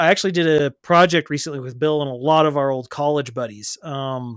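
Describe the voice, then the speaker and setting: A man with an American accent speaks at a moderate pace and fairly high pitch, with ordinary pitch variation. The recording is very clean with a silent background, and the sound is dry and close with no echo. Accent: Texan accent, comes out at times. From Texas. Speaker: podcast co-host and streamer. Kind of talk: casual chat.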